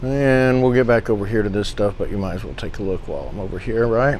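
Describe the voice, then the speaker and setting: A man's relaxed tone with ordinary pitch variation. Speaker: auctioneer. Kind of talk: casual auction preview walkthrough. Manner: casual, relaxed.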